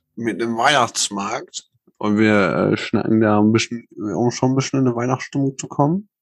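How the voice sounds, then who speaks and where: This man talks at a moderate pace with a medium pitch and ordinary pitch variation, recorded with a dry, close sound and no echo. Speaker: podcast host. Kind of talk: casual chat. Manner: loud.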